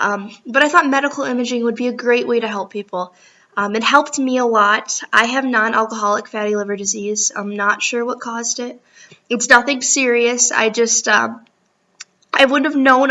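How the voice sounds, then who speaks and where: A woman with an American accent, fairly high pitch and moderate pace. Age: 20s. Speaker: college student. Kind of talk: self-introduction video for class. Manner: hesitant, many ums.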